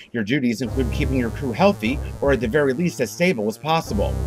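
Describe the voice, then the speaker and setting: A man rattles along at a very fast pace while music plays in the background. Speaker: podcast host. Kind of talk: news podcast narration.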